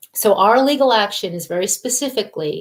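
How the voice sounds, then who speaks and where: A woman with a plain, everyday voice talks at a moderate pace, her intonation lively. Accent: American. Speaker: environmental health advocate. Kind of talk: interview. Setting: live video call.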